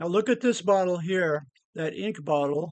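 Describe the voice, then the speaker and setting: A man with an American accent speaks in a high, relaxed voice. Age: 70s. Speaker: retired scuba diver. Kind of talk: casual narration of photos. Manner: relaxed, halting.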